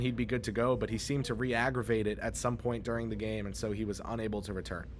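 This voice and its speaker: A man's medium-pitched voice with vocal fry, very fast and fairly even in intonation, amid audible room echo. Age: 20s. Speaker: sports reporter. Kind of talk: on-site sports news report. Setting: on-site at an arena after a game.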